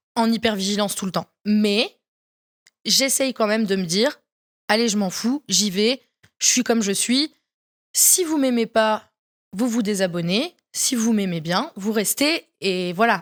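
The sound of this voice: A woman with a Vosges accent speaks at a very slow pace, with long, frequent pauses. Her voice is fairly high with ordinary pitch variation, and the sound is dry and close with no echo. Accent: regional French, Vosges.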